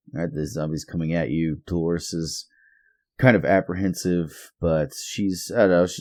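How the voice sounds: A man speaks at a low pitch and a moderate pace, with little pitch movement. His tone is slightly mellow.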